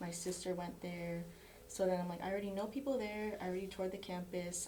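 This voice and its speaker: A woman talks at a very fast pace with medium pitch and ordinary pitch variation. Room echo is audible, with noticeable background noise. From Florida, US. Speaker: college soccer player. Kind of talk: casual chat.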